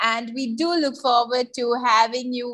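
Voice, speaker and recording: A woman's bright, sharp voice against a quiet background. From Sri Lanka. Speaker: webinar moderator; webinar host or moderator. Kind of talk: formal introduction. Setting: video call. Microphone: video call.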